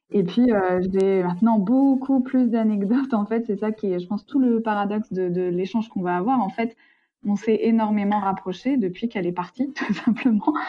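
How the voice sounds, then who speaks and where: Somewhat breathy and fairly high-pitched, a woman talks at a moderate pace with ordinary pitch variation. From France. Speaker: interviewee, sister of expatriate. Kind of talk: interview.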